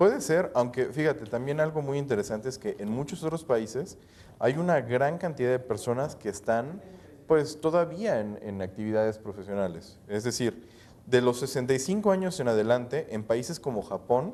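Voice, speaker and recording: Using lively intonation, a man speaks at a moderate pace with a medium pitch and a dark, mellow tone. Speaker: financial advisor on TV panel. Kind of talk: TV panel discussion.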